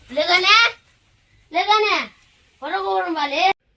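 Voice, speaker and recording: A woman performs a put-on character voice. It sits at an extremely high pitch with ordinary pitch variation. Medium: short film. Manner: blunt, rough.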